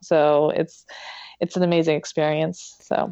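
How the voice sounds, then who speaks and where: A woman speaks in a dark, mellow tone with monotone, flat intonation at a moderate pace. The sound is dry and close with no echo, over a quiet background. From western Pennsylvania, Pittsburgh area. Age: 40s. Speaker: elite marathon runner and nurse. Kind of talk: interview conversation.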